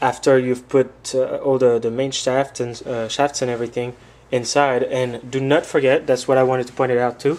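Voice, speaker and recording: His pace is moderate. A man delivers the words with monotone, flat intonation. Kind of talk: tutorial. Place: workshop.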